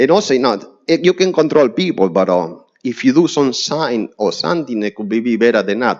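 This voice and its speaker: A man with a strong Spanish accent at a fairly quick pace, with very wide pitch swings and big swings in loudness. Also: medium pitch for a man. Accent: heavy Spanish. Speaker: neighbor testifying at zoning hearing. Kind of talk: public hearing testimony. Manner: halting.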